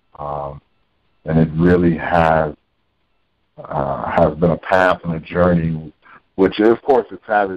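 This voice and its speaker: Against a quiet background, a man with a very deep, low voice talks at a fairly slow pace. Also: dry sound with no echo. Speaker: actor interviewee. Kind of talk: interview answer. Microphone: phone line.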